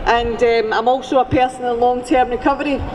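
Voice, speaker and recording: A woman speaks at a fairly quick pace in a high voice, with noticeable noise in the background. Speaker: recovery advocacy organiser. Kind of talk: rally speech over PA. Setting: outdoors, PA system.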